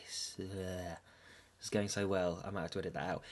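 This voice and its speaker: The pace is fairly slow. A man talks with an English accent. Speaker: podcast host.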